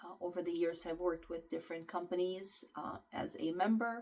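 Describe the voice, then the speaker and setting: Her fairly low voice has lively intonation as the woman speaks at a moderate pace. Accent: slight Ukrainian. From Ukraine. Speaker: nutrition and health coach. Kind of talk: self-introduction to clients. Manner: casual, with many fillers.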